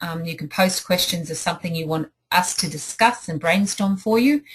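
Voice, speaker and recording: A woman with an Australian accent speaks at a moderate pace, her fairly low voice somewhat breathy, with ordinary pitch variation. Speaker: life coach. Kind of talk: online group coaching talk. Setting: home office. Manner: enthusiastic.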